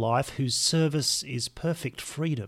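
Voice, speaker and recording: A man with an unremarkable speaking voice talks fairly slowly and with ordinary pitch variation, captured on a very clean recording with a silent background. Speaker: podcast host. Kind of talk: reading aloud prayers, casual intro. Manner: measured, reverent, slow in prayers; conversational, warm.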